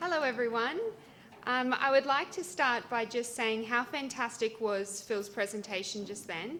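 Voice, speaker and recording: Speaking with an Australian accent, this woman has a bright, sharp tone and fairly high pitch. Her pace is moderate and her pitch varies in an ordinary way. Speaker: cancer support charity representative. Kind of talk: presentation.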